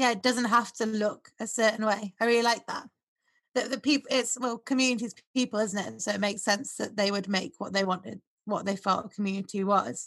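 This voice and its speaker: Fairly quick and fairly even in intonation, a woman talks in a normal speaking voice with a fairly high pitch. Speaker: podcast host. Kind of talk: casual interview chat.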